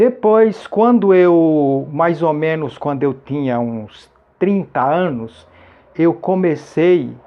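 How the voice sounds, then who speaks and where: A man's fairly high voice, lively in intonation, at a very slow pace. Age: 60s. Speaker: YouTuber sharing health advice. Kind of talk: testimony. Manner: casual, repetitive.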